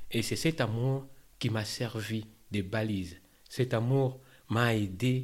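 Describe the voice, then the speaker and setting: Slowing to a very slow pace with long, frequent pauses, a man speaks at a medium pitch with fairly even intonation. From DR Congo, Kinshasa. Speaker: asylum seeker turned employee. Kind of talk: testimony. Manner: halting.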